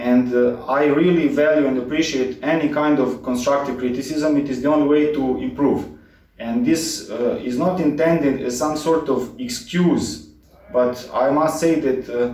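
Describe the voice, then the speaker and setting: With a Serbian accent, a man talks at a moderate pace in a fairly high pitch with ordinary pitch variation, amid noticeable background noise and audible room echo. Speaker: cycling mechanic YouTuber. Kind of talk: direct-to-camera channel introduction. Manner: halting, many filler words. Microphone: poor audio quality, cheap microphone.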